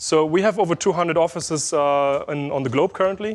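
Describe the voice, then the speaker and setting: Man with a slight German accent, fairly high pitch, ordinary pitch variation and a fairly quick pace against a quiet background. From Germany, Berlin. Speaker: SEO specialist, conference speaker. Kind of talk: conference talk. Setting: stage with audience. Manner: loud; hesitant, many fillers.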